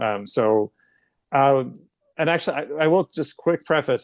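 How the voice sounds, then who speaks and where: A man with a slight New Jersey accent, a fairly quick pace and ordinary pitch variation, in a dry, close sound with no echo and a quiet background. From northern New Jersey, Union County. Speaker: podcast host. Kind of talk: podcast interview.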